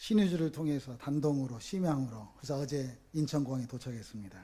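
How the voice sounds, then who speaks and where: Lively in intonation, a man with a fairly high pitch speaks in a dark, mellow, somewhat breathy tone. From Korea, North Jeolla (Namwon). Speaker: pastor. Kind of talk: sermon. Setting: church with congregation. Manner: animated, engaging audience.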